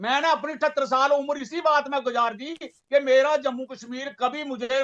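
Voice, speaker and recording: A man's voice at extremely high pitch, with fairly even intonation. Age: 70s. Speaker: panel guest, veteran activist. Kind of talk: heated TV panel debate. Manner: insistent, interrupting.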